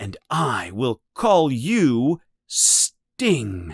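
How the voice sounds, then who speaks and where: A man's put-on character voice, fairly high in pitch and growling, with very wide pitch swings. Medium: read story.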